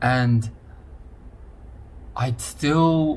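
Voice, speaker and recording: A man speaks in a somewhat breathy voice. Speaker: mental health podcaster. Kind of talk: personal monologue podcast. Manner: hesitant, many fillers.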